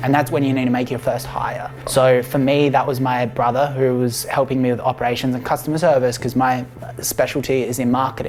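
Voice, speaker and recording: A man talks in a monotone, flat intonation. Music plays in the background. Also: medium pitch for a man, fairly quick pace. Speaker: entrepreneur vlogger. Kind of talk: vlog tutorial.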